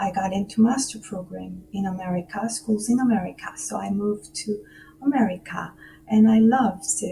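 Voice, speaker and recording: With music in the background, the speaker talks at a moderate pace with ordinary pitch variation. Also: woman, medium pitch for a woman. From South Korea, Seoul. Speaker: musician and music professor. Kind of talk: radio interview. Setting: remote call from home.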